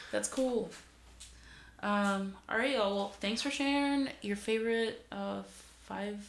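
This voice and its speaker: Spoken with an American accent, the voice carries audible room echo. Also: woman. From Greater Boston, US Northeast. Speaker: podcast host and barber. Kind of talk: casual chat. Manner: casual, filler-heavy.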